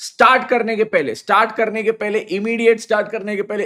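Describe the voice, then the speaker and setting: A man with a high-pitched voice speaks at a moderate pace in an animated tone. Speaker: CA teacher. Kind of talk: live online lecture. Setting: live stream on mobile data.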